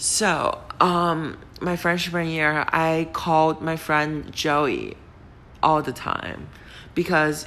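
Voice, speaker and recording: In a Chinese accent, a woman speaks with a very deep, low pitch and monotone, flat intonation. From China. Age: 20s. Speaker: podcast host. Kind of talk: casual monologue. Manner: hesitant, many fillers.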